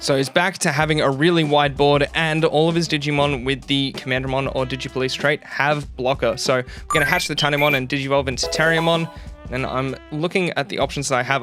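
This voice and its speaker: Over music in the background, a man with a fairly high pitch talks at a very fast pace with fairly even intonation. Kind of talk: card game match commentary.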